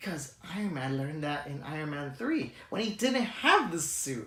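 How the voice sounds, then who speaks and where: Audible room echo surrounds a voice with lively intonation at a moderate pace. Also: man. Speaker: movie reviewer. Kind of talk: casual review monologue. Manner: halting, stuttering.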